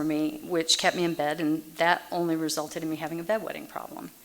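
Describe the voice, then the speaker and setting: A woman with an American accent has an unremarkable speaking voice and a fairly low pitch. She talks at a fairly quick pace. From Massachusetts, then Texas from age 9. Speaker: Al-Anon speaker. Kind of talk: recovery meeting talk.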